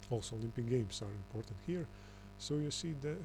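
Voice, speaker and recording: The speaker has a non-native accent. He is a man. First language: not English. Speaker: conspiracy video commentator. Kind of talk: reading aloud with commentary. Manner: halting, many fillers.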